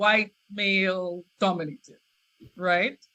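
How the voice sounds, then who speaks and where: A woman speaks with a Trinidadian accent. Her pace is very slow. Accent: Trinidadian, noticeable. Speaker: scientist. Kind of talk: interview. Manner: halting, many repetitions and fillers.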